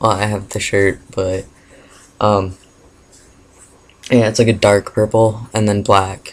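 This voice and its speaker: Very slowly and with long, frequent pauses, a man talks in a fairly low voice with monotone, flat intonation. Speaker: vlogger. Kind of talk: casual Q&A vlog. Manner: hesitant, many fillers.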